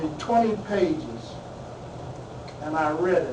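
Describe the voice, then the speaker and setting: With noticeable background noise and audible room echo, a man with a high pitch speaks at a fairly slow pace and ordinary pitch variation. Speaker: spiritual minister and guest speaker. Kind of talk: talk to a class. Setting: classroom. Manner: loud.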